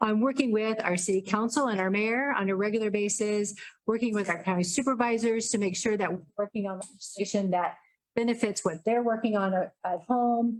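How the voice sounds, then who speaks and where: This woman talks at a fairly quick pace in a fairly high pitch, her intonation fairly even. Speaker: state legislator running for re-election. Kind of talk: campaign speech at candidates forum. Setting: public forum with audience, handheld mic. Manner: loud.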